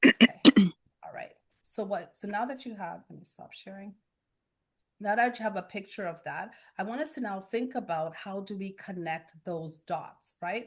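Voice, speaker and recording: A somewhat breathy voice moves at a moderate pace with big swings in loudness. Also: woman, medium pitch for a woman, ordinary pitch variation, quiet background. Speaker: guest speaker, workshop facilitator. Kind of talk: interactive workshop presentation.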